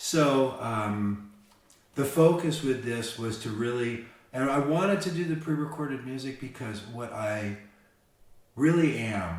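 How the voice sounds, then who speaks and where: A man's voice at a moderate pace, lively intonation and audible room echo. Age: 60s. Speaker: musician and songwriter. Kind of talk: interview. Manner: halting, many restarts and repeated words.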